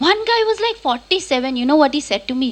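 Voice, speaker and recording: A woman speaks in a raised, projected voice with very wide pitch swings. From Kolkata, India. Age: 30s. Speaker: stand-up comedian. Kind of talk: stand-up. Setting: stage with audience.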